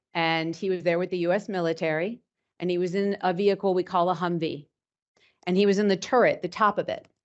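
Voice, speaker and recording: In a New York accent, a woman talks at a moderate pace in a fairly low pitch with fairly even intonation. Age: 50s. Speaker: cybersecurity executive. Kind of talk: lecture. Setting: stage with audience.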